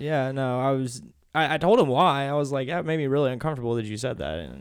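The speech comes at a very fast pace with lively intonation. Room echo is audible. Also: man. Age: 20s. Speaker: podcast host. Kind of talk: casual chat.

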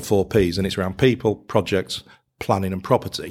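Speaking very fast with a northern English accent, a man uses a fairly low voice and fairly even intonation in a very clean recording with a silent background. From northern England. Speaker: accountant and business owner. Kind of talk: casual interview chat.

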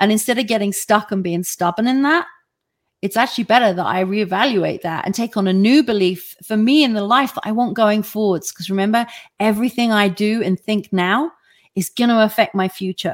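A woman talks at a fairly quick pace in a fairly high pitch. It is a plain, everyday voice. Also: ordinary pitch variation. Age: 50s. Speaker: online talk show host and life coach. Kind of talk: live-streamed motivational talk with audience Q&A. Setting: live online broadcast.

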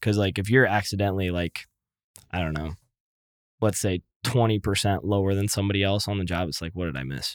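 In an American accent, a man with a fairly low pitch speaks at a very fast pace. The recording is very clean and dry, close with no echo, over a silent background. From Iowa, US Midwest. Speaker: construction contractor, business owner. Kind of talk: casual interview chat. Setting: studio.

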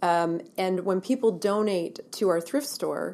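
A woman with a Canadian accent speaks at a medium pitch, her dark, mellow tone carrying ordinary pitch variation. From Ontario, Canada. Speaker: women's shelter director. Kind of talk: interview.

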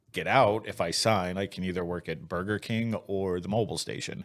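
A man with a normal speaking voice talks at a moderate pace and a fairly low pitch. His pitch variation is ordinary, and the recording is very clean with a silent background. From moved around as a Navy kid, US. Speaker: Iraq war veteran. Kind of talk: interview. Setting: studio.

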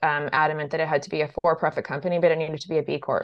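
Speaking in an American accent, a woman has a fairly low pitch. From US, central Idaho. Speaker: climate company founder and CEO. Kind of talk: interview.

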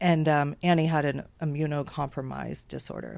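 A woman with an American accent, very deep and low in pitch, with monotone, flat intonation. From Texas, Houston. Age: 50s. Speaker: parent coach and educational consultant. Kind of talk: interview.

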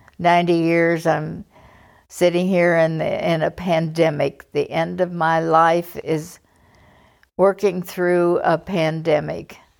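On a very clean recording with a silent background, a woman speaks very slowly at a fairly low pitch in a monotone, flat intonation. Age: 80s+. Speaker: podcast host's mother, retiree. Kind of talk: casual interview.

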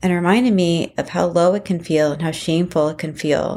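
Speaking at a fairly quick pace, a woman with a plain, everyday voice uses fairly low pitch and ordinary pitch variation in a very clean recording with a silent background. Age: 30s. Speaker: podcast host and emotional abuse coach. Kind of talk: solo podcast commentary.

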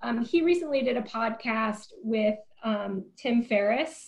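A woman with an American accent speaks in a fairly high, somewhat breathy voice. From US Pacific Northwest, small town in Eastern Oregon. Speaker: nonprofit CEO and former restaurateur. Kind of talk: interview conversation.

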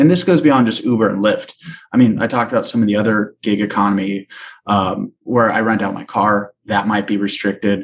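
A man's fairly low voice, fairly quick, with ordinary pitch variation and a Californian accent. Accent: General American (Californian). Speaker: policy advocacy trainer. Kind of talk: interview.

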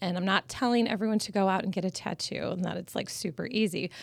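At a moderate pace, a woman speaks at a medium pitch with a Midwestern American accent. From Michigan and Missouri. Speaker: business owner. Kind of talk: casual interview.

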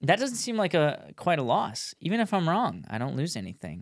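In an American accent, a man talks at a fairly quick pace with very wide pitch swings. The recording is very clean, with a silent background. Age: 20s. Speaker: motorcycle dealer and podcaster. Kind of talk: casual conversation podcast. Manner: halting, takes many pauses.

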